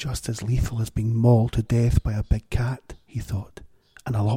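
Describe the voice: The recording is plain reading aloud.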